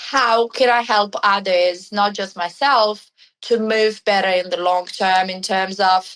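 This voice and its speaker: A woman with an Italian accent, fairly high-pitched, at a very slow pace. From Italy, Milan. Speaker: remedial massage therapist and movement coach. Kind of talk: podcast interview.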